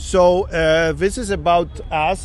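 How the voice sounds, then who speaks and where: Noticeable background noise runs under the recording. A man speaks with a non-native accent. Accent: foreign. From Poland. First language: Polish. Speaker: sculptor. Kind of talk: interview. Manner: halting.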